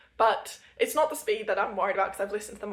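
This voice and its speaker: Noticeable background noise surrounds a woman speaking at a fairly high pitch. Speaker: book vlogger. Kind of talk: casual vlog monologue. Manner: fast.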